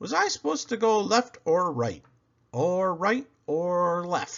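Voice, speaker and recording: A put-on character voice at a fairly slow pace. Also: man, high pitch for a man. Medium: read story.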